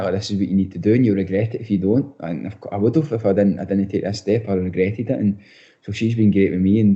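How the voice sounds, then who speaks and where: Here is a man with a strong Scottish accent. He speaks at a very fast pace with fairly even intonation. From Scotland, Bellshill area. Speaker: professional footballer. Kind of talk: podcast interview. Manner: halting, many restarts.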